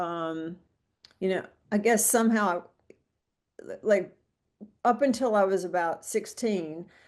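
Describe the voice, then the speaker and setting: Over a quiet background, a woman with an American accent speaks fairly slowly at a medium pitch, with ordinary pitch variation and long, frequent pauses. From US South (central Mississippi). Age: 60s. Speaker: guest sharing recovery story. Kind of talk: casual interview chat.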